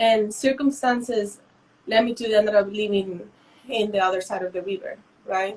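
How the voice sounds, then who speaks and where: A woman's fairly high voice in a Mexican accent, at a moderate pace with fairly even intonation. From northern Mexico (Matamoros). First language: Spanish. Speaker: visual artist. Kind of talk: interview. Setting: Instagram Live video stream. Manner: halting.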